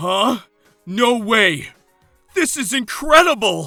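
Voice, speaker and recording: A man puts on a character voice, pitched high and delivered at a very slow pace. Faint music plays in the background. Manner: excited, astonished.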